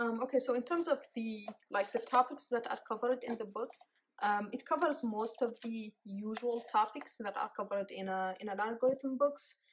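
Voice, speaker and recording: A woman at a moderate pace, ordinary pitch variation, light background noise. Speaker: book reviewer. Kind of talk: casual book review. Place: home room. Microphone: phone near.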